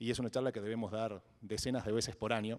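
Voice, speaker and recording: Fairly even intonation at a fairly quick pace, on a very clean recording with a silent background. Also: man. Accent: Argentine. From Argentina. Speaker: blockchain entrepreneur, conference speaker. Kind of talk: fireside chat on stage. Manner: hesitant, many repetitions and fillers.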